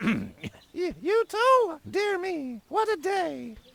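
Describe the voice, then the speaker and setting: In a put-on character voice, a man speaks at an extremely high pitch, very slowly, with very wide pitch swings. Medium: video game. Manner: snippy, catty.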